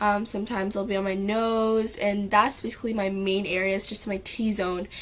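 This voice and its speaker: A woman talks in a monotone, flat way at a medium pitch while noticeable background noise runs underneath. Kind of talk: makeup tutorial talk to camera.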